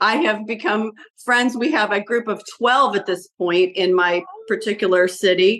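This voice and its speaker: Her voice is an ordinary speaking voice, fairly high in pitch with ordinary pitch variation. The woman keeps a moderate pace. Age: 60s. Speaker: abuse survivor interviewee. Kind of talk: interview.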